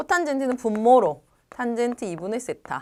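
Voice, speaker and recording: A woman with a high pitch and a dark, mellow tone speaks at a moderate pace. The recording is very clean, with a silent background. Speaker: math tutor. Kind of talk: lecture. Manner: trips over pronunciation.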